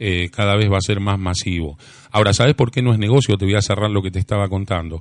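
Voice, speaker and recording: A man speaks very rapidly. His pitch shifts in an ordinary way. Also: fairly low pitch for a man. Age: 50s. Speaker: lecture team member, contactee speaker. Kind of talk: radio interview.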